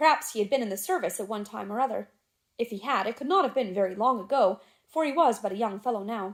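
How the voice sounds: The natural reading voice has lively intonation, and the background is quiet.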